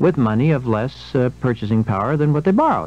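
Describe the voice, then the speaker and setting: A man's very fast, lively-intoned speech, dry with no echo. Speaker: radio guest. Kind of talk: interview answer. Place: studio.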